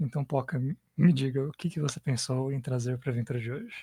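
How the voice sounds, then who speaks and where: Soft-spoken and somewhat breathy, a man with a fairly high pitch and a dark, mellow tone talks at a fairly quick pace with ordinary pitch variation in a very clean recording with a silent background. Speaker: podcast host and game master. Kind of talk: casual chat while designing an RPG adventure. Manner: soft-spoken, hard to hear.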